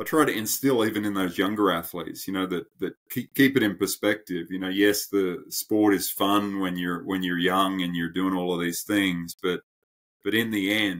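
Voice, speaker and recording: Using an Australian accent, a man speaks at a moderate pace in a very deep, low pitch with fairly even intonation. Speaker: endurance coach. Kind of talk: podcast interview. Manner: halting.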